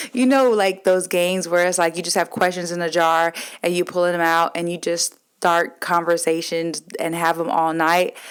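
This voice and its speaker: At a moderate pace, a woman with a fairly low pitch speaks on a very clean recording with a silent background. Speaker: podcast host. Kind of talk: casual chat. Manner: loud; animated.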